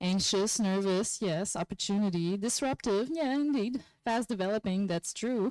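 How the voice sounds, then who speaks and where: A woman with a non-native accent talks at a moderate pace, her pitch varying in an ordinary way. The recording is very clean, with a silent background and a dry, close sound with no echo. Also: medium pitch for a woman. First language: not English. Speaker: workshop presenter. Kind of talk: conference workshop presentation. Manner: animated.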